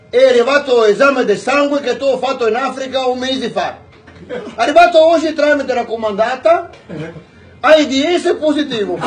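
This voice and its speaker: A man's extremely high-pitched voice, with long, frequent pauses and noticeable background noise. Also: ordinary pitch variation, moderate pace. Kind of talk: joke telling. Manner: casual, lively.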